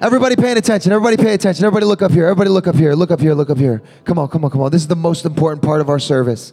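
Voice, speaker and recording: Very fast and animated, a man talks at a high pitch with lively intonation, big swings in loudness and hardly any pauses. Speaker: youth pastor. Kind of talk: altar call. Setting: stage with audience. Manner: animated, rousing.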